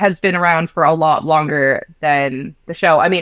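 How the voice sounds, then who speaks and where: Her Canadian accent comes through at a moderate pace. This woman's pitch is fairly low. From Canada. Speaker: podcast co-host. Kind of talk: casual chat. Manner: animated.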